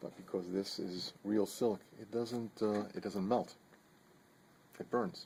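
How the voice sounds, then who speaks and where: Soft-spoken and flat in intonation, a man talks in a dark, mellow tone. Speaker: knife maker. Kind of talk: tutorial. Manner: halting.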